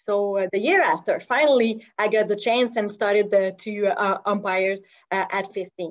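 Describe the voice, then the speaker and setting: A woman speaks at a fairly slow pace in a Quebec accent. Her pitch sits in the medium range. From Quebec, Montreal South Shore. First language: French. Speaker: softball umpire. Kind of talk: personal story talk. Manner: halting, many fillers.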